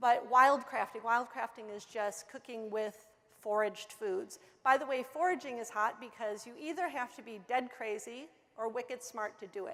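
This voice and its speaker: At a fairly quick pace, a woman with a fairly high voice speaks with ordinary pitch variation and big swings in loudness. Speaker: food trend consultant. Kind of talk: conference presentation. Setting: conference stage with audience. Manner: fast.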